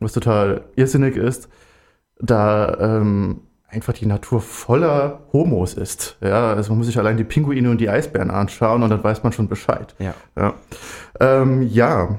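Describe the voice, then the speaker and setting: A man's plain, everyday voice at medium pitch and a fairly slow pace, with ordinary pitch variation, on a very clean recording with a silent background. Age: 20s. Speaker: student and LGBT volunteer activist. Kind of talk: radio interview. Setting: studio.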